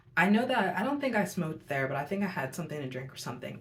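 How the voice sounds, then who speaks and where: A woman's voice carries audible room echo. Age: 20s. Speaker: youtuber, tarot reader. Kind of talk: storytelling monologue. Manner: casual, filler-heavy.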